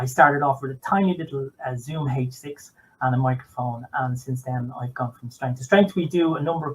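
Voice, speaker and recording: A man with a Dublin accent, fairly high pitch and a very fast pace. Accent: Dublin Irish. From Ireland, Dublin. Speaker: podcaster, former motorsport journalist. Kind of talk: casual chat.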